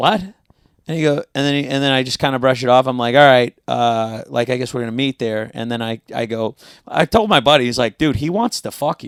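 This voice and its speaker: With a normal speaking voice, a man in an American accent talks fairly quickly at a medium pitch with ordinary pitch variation, the sound dry and close with no echo. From South Florida. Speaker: comedian and actor. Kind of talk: casual chat.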